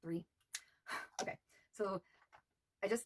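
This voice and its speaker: Soft-spoken with vocal fry, a woman talks with ordinary pitch variation in a dry, close sound with no echo. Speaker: beauty vlogger. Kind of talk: makeup tutorial. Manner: casual, hesitant.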